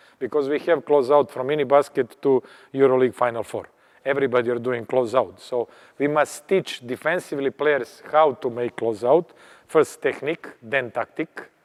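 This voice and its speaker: A man speaks with an unremarkable speaking voice at medium pitch and a moderate pace. The recording is dry and close, with no echo. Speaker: basketball coach. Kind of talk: coaching clinic lecture. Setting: clinic at a tournament.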